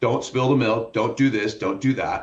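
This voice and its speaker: A man speaks at a medium pitch and a moderate pace. His voice is somewhat breathy. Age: 60s. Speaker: food scientist and fitness business owner. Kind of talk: interview. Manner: animated.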